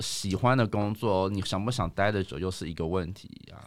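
Over a silent background in a very clean recording, a man talks at a fairly quick pace with lively intonation and a fairly low pitch, in a plain, everyday voice. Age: 30s. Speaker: office worker. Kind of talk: casual chat.

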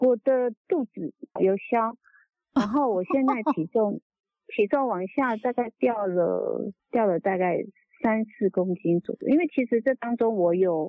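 In a plain, everyday voice, a woman with a fairly high pitch speaks at a fairly slow pace with lively intonation. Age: 60s. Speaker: product user testimonial caller. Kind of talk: testimony. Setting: phone call.

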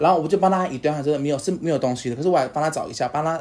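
Here a man speaks at a very fast pace. His pitch is fairly high, with ordinary variation. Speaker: podcast co-host. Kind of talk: casual chat.

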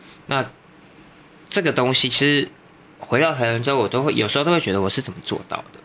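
A man speaks at a very fast pace yet with long, frequent pauses, at medium pitch with ordinary pitch variation. Noticeable background noise runs beneath him. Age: 30s. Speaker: makeup and hair artist. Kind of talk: casual chat.

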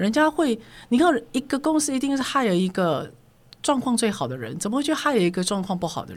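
A woman's fairly high voice with vocal fry, a fairly quick pace, very wide pitch swings and big swings in loudness. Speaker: corporate trainer. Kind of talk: interview storytelling. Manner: assertive, forceful-sounding.

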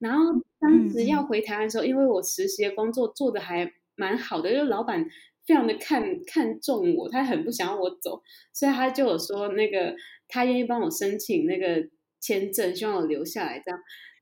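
At a moderate pace, a woman speaks in a fairly high pitch with a dark, mellow tone and very wide pitch swings. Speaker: career consultant and freelance marketer. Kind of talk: interview.

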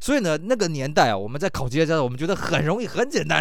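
A man talks at a very fast pace in a fairly high pitch, with vocal fry. His tone is animated, with very wide pitch swings. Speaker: podcast host. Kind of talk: casual chat.

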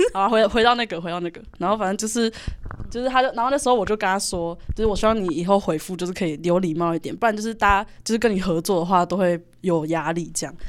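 A woman at medium pitch, ordinary pitch variation and a very fast pace. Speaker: university student, exhibition co-organizer. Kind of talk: casual chat.

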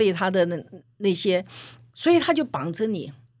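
The speaker is a woman at a moderate pace. Her pitch swings very widely. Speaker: veteran media executive and author. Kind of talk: interview conversation.

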